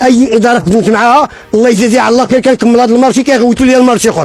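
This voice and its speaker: There is noticeable background noise. Through it, a man's voice comes. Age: 70s. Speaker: building contractor. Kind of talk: interview testimony. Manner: emotional, repetitive.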